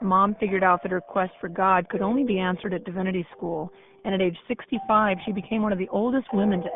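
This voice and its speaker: Over music in the background, a woman with an American accent talks at a very fast pace. Her medium-pitched voice keeps fairly even intonation. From grew up abroad in military family, parents from US South. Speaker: radio documentary narrator. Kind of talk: scripted narration.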